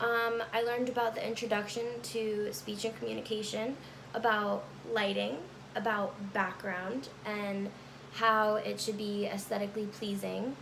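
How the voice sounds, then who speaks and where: A woman speaks at a fairly slow pace in a flat monotone, with audible room echo and noticeable background noise. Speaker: college student. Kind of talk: class speech recorded on camera. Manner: halting, with fillers.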